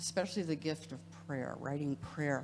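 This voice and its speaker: A woman speaks at a very deep, low pitch with vocal fry. Her pitch variation is ordinary. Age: 70s. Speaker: audience member. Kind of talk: audience comment. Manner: halting.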